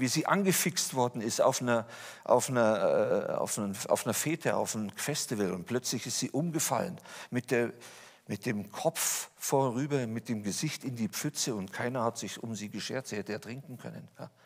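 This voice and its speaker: Moderate pace against a quiet background. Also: man. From Lower Bavaria, Germany; Bavaria, Germany. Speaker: speaker giving personal testimony; speaker. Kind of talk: testimony talk. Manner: animated. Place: church.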